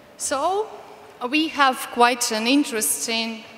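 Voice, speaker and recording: A woman speaks at a high pitch with ordinary pitch variation. There is noticeable background noise. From Ukraine. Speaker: activist. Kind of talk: speech.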